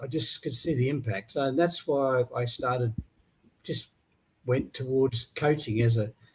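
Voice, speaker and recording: With an Australian accent, a man speaks at a medium pitch with ordinary variation. His tone is dark and mellow, and somewhat breathy. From Australia, Brisbane. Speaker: leadership coach. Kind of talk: interview.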